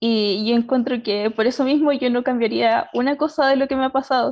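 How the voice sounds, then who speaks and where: A woman with a fairly high pitch speaks with fairly even intonation against a quiet background. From Chile, Concepción; Chile. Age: 20s. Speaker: aerospace engineering student. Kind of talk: personal story in panel talk. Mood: warm, smiling. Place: home room. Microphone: video call.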